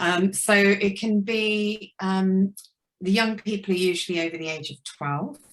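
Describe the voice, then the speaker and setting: A woman talks at a fairly slow pace with a medium pitch and ordinary pitch variation. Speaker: hypnotherapist and life coach. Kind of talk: networking introduction. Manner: hesitant, many fillers.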